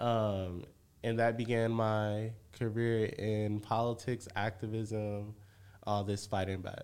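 At a very slow pace, a man speaks with fairly low pitch and monotone, flat intonation. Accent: American. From Michigan, Benton Harbor. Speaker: community organizer and researcher. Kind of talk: casual interview.

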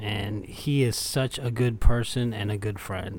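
Somewhat breathy and medium in pitch, a man speaks at a fairly slow pace in a very clean recording with a silent background. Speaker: podcast co-host in recovery. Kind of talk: casual conversation.

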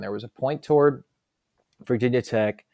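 A man's plain, everyday voice, medium in pitch, with ordinary pitch variation, a fairly quick pace, and a quiet background. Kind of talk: conversational interview, explaining his work. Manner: relaxed, articulate, anecdotal.

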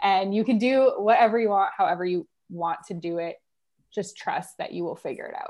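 A woman speaks at a fairly quick pace with a Canadian accent. Her loudness swings by a big margin. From Canada, Ottawa. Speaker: business coach. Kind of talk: podcast interview.

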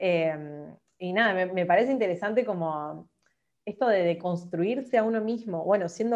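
With an unremarkable speaking voice, a woman talks fairly slowly, her medium pitch varying in an ordinary way. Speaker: podcast host. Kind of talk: casual interview chat.

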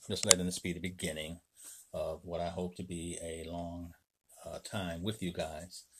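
A man's very deep, low voice in a flat monotone at a moderate pace. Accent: American. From Chicago, Illinois. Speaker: vlogger with a ministry background. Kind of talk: casual self-introduction monologue. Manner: halting, many fillers.

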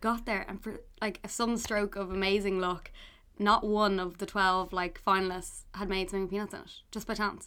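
A woman talks very fast in a Dublin accent, her pitch medium and her tone bright and sharp. The recording is very clean, with a silent background. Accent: Irish (Dublin). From Ireland, Dublin. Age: 20s. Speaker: food writer and cookbook author. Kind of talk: casual chat.

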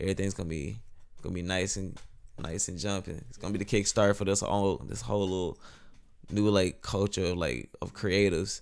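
Speaking at a fairly quick pace, a man uses a very deep, low voice with vocal fry. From northern Louisiana (Monroe). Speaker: musician and artist. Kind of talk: casual chat.

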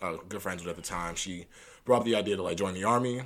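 The man's fairly even intonation is heard with audible room echo around it. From US Midwest, St. Paul, Minnesota. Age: 20s. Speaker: podcast host. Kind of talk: casual chat.

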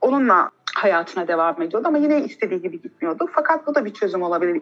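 A woman's medium-pitched voice at a very fast pace, with very wide pitch swings and hardly any pauses. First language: not English (Turkish) (speaking Turkish). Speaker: podcast host, genetics student. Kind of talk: casual chat.

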